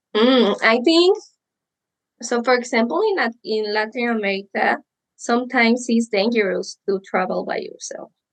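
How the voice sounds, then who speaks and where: Lively intonation from a woman, her pitch fairly high, her pace moderate. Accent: Spanish. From Mexico. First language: Spanish. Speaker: psychologist and sex educator. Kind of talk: podcast interview.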